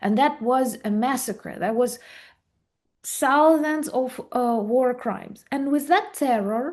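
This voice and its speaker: This voice with a Ukrainian accent moves at a very slow pace with ordinary pitch variation. The background is quiet. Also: woman, high pitch for a woman. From Ukraine. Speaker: video blogger. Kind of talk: interview.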